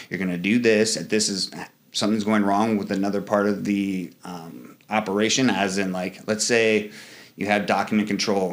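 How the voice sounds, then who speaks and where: A man talks at a moderate pace in an ordinary speaking voice. His pitch is fairly low and his intonation fairly even. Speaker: Marine and leadership coach. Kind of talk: interview conversation. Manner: casual, filler-heavy.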